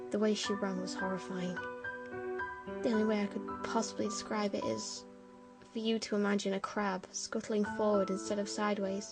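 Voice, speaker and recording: Over music in the background, a woman mumbles at a moderate pace in a medium pitch with ordinary pitch variation. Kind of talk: horror story narration. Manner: slightly mumbled.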